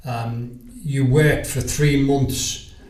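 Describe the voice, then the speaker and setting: A Liverpool accent with fairly even intonation and audible room echo. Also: man. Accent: Liverpool (Scouse). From Liverpool, England. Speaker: sales agent. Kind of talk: podcast interview.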